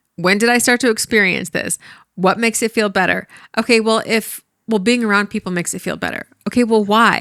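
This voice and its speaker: Loud and fairly quick, a woman speaks at fairly high pitch in a bright, sharp tone with monotone, flat intonation, on a very clean recording with a silent background and a dry, close sound with no echo. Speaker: dating and relationship coach, podcast co-host. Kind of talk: casual podcast conversation. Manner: loud talker; gets loud when passionate.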